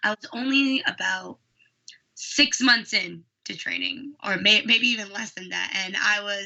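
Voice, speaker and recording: With an American accent, a woman speaks at a fairly slow pace with ordinary pitch variation. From United States, East Coast. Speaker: professional wrestler. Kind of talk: interview answer. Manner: soft-spoken.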